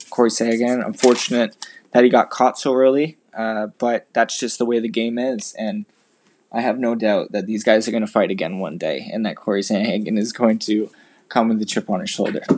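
Here is a normal speaking voice from a man at medium pitch, fairly quick in pace. His intonation is fairly even, and the very clean recording has a silent background. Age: 20s. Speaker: podcast host and amateur MMA fighter. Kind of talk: solo commentary podcast.

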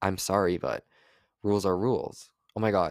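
A man speaks at a fairly low pitch with ordinary pitch variation and vocal fry. The sound is dry and close with no echo, in a very clean recording with a silent background. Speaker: solo podcaster. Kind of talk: casual monologue. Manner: fast talker; rambling.

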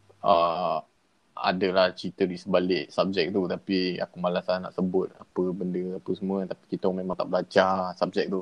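Here is a man with a very deep, low pitch. His intonation stays monotone and flat. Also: moderate pace. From Kedah, Malaysia. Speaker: podcast guest. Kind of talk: casual chat. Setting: remote call with earphones.

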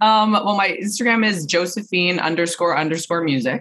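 Animated in tone, a woman with a Canadian accent speaks with ordinary pitch variation in a very clean recording with a silent background. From Vancouver area, Canada. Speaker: singer-songwriter and performer. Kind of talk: casual interview chat. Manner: outgoing, animated, outspoken.

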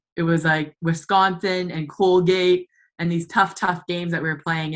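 A woman talks at a moderate pace with a Canadian accent. Her pitch is fairly low. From northern Ontario, Canada. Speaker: former college ice hockey player. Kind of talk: casual interview.

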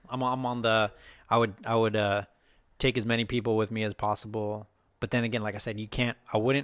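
With an American accent, a man talks at a fairly quick pace in a plain, everyday voice, medium in pitch and fairly even in intonation. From Texas. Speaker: podcast co-host. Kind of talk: casual chat.

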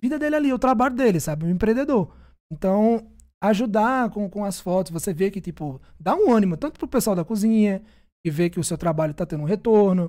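A man's high-pitched voice with a dark, mellow tone, lively intonation and a very fast pace. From Brazil, Northeast. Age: 20s. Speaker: food photographer. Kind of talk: casual chat.

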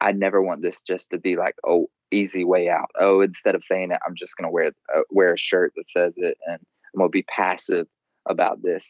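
A man talks with a Southern US accent. He keeps a moderate pace. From rural US South. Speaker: clothing brand founder. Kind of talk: casual interview. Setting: Skype call.

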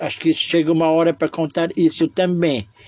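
This man's voice sits at a high pitch. His intonation is monotone and flat. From Lebanon (Beirut). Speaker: memoir storyteller. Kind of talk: personal storytelling monologue. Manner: halting, many fillers.

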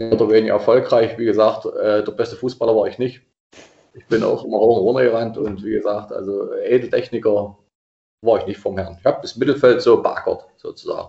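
Big swings in loudness mark a man's speech at a fairly quick pace. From Saxony-Anhalt, Germany (Anhalt-Bitterfeld district). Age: 50s. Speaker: regional football association president. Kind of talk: casual interview.

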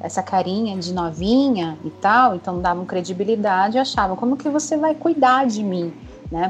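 Noticeable background noise sits under a woman speaking at a moderate pace. Her medium-pitched voice has lively intonation. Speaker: clinical psychologist. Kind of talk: interview. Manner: talkative.

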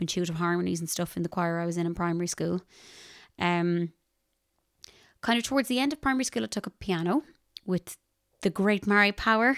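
The sound is dry and close with no echo, on a very clean recording with a silent background. The speaker talks at a very fast pace in a western Irish accent. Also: woman. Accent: Irish (west of Ireland). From Ireland, Ballinasloe, County Galway. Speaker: singer-songwriter and music teacher. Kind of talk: casual interview.

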